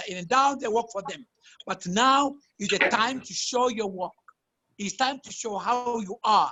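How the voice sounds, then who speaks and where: A woman with a French accent speaks at a moderate pace, her fairly high pitch showing ordinary variation. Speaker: fashion designer. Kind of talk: panel talk. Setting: video call. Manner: halting.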